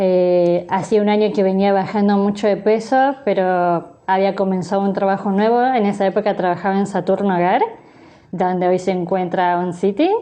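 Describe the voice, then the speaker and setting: A woman with a plain, everyday voice, medium pitch, fairly even intonation, moderate pace and very even loudness. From Argentina, Buenos Aires province (San Isidro). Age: 30s. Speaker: sign language interpreter and teacher. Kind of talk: interview.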